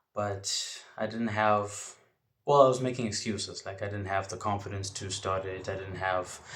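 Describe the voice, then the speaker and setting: Somewhat breathy speech at a moderate pace, with audible room echo around it. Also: man. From South Africa, Port Elizabeth. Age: young. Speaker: wrestling podcaster. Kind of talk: podcast monologue. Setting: home bedroom.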